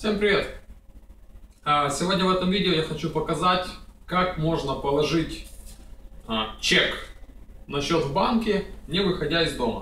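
A man with a high pitch speaks at a fairly slow pace, leaving long, frequent pauses. His pitch varies in an ordinary way, and audible room echo surrounds him. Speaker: vlogger. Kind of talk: casual tutorial. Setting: at home, screen recording. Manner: casual, chatty. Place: home room.

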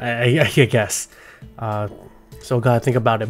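A man talks at a moderate speed. Behind him, music can be heard. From California. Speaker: gaming content creator. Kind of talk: unscripted gameplay commentary. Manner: casual, hesitant with fillers.

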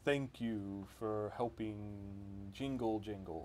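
A man uses a put-on character voice at a fairly low pitch. Background noise is clearly audible.

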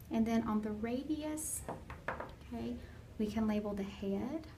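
A woman at a fairly slow pace over light background noise. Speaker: anatomy teacher. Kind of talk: lecture. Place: classroom. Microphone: phone near.

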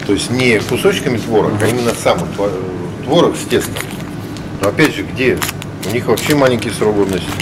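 A man at a fairly quick pace, ordinary pitch variation, over loud background noise. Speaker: food quality reviewer. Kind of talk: casual vlog commentary. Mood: critical, skeptical. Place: shop. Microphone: phone near.

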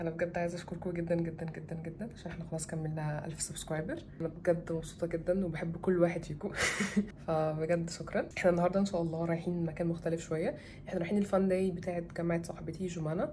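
With light background noise behind her, a woman speaks very fast in a fairly low, monotone voice with flat intonation. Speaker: vlogger. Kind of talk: casual vlog chat. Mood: cheerful, grateful, laughing. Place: home room. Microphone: phone near.

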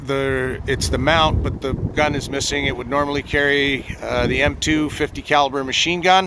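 Over noticeable background noise, a man talks fairly slowly in a dry sound with no echo. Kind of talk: casual walkaround commentary. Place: open country. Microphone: phone near.

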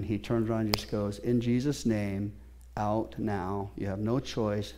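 At a moderate pace, a man talks in a dark, mellow tone. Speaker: pastor. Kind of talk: sermon. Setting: church with congregation. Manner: animated, preacher in full flow; conversational, interactive with congregation. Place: church.

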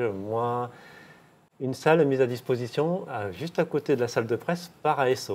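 The man talks at a fairly slow pace. His intonation is lively. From southern France, Millau; southern France. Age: 50s. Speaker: former professional cyclist; interviewee. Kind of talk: interview. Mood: calm, reflective, candid. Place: home room. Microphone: lapel.

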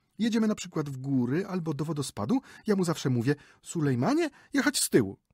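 Very rapid delivery on a spotless recording with a totally silent background. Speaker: audiobook narrator. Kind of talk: literary audiobook reading, a short story read aloud with character voices. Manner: animated, gossipy, shifting between narration and a chattering woman's dialogue.

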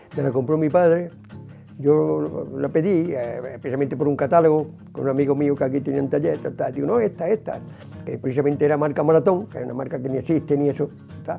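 Over faint music in the background, a man with an Andalusian accent talks at a very fast pace. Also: ordinary pitch variation. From Málaga, Andalusia. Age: 80s+. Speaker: veteran amateur cyclist, carpenter. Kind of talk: interview answer. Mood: warm, proud. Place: home room.

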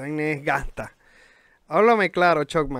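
A man speaks at a fairly slow pace with a Venezuelan accent. His intonation is lively, and the sound is dry and close with no echo. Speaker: podcast host and rapper. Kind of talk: casual chat.

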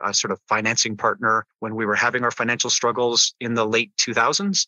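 This is a man with an ordinary speaking voice at a medium pitch. He talks at a fairly quick pace. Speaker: business executive and educator. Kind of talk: interview.

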